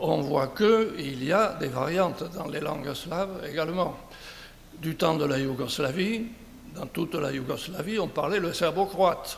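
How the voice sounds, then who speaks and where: A man's fairly high voice with a southern French accent, fairly slow pace and ordinary pitch variation, amid audible room echo and noticeable background noise. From southern France, Béziers. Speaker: conference speaker. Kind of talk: conference talk. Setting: round table with audience.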